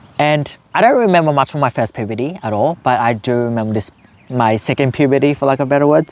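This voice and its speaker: At a fairly fast tempo and with normal pitch movement, an unremarkable speaking voice talks. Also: man. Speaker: YouTuber sharing personal story. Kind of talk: personal story monologue. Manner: casual, filler-heavy.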